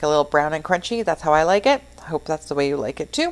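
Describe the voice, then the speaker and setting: The speaker is a woman with a fairly low voice. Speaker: cooking channel host. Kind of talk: voice-over narration of a cooking tutorial. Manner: casual, with fillers; sometimes tongue-tied. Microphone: new microphone after mic problems.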